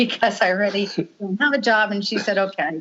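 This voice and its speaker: A woman with an American accent speaks in a fairly high pitch with a bright, sharp tone and ordinary pitch variation. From Long Island, New York. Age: 60s. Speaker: marketing executive. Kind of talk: casual interview chat.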